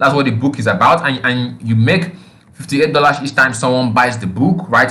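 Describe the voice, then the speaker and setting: A man talks at a fairly quick pace, and audible room echo follows his voice. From Nigeria. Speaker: online marketing instructor. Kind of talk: tutorial. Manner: halting, frequent fillers.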